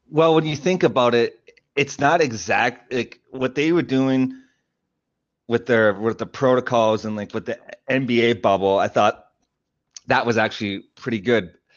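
A man with a Canadian accent has an unremarkable speaking voice at medium pitch. He goes at a moderate pace with ordinary pitch variation. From Canada. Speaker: hip hop artist and podcaster. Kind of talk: casual interview.

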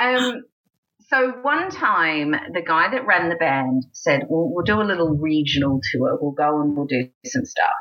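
A woman speaks fairly slowly at a fairly low pitch. Her pitch swings very widely while her loudness stays very even. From rural South Australia, between Adelaide and Melbourne. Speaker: cabaret and burlesque performer, singer. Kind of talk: casual interview chat.

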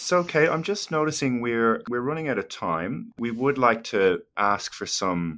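A man's plain, everyday voice at a moderate pace with lively intonation, in a very clean recording with a silent background. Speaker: podcast co-host and lecturer.

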